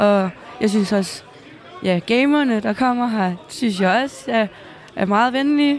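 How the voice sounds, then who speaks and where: A woman at a fairly slow pace, with lively intonation, long, frequent pauses, and crowd noise in the background. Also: fairly high pitch for a woman, very even loudness. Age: 20s. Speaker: gamer and streamer. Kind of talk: interview. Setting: gaming event venue. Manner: halting.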